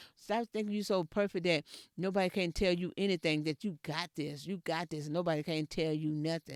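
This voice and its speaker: Someone with a Texas accent speaks at a fairly quick pace in a very clean recording with a silent background. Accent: country Texas speech. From Texas, rural area near Edna. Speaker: podcast host. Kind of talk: motivational talk. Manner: repetitive, emphatic.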